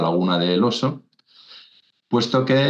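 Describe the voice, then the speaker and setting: A man speaks with a fairly low pitch. His pitch variation is ordinary. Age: 60s. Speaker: naturalist, wetland expert. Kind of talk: interview. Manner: halting, many repetitions and fillers.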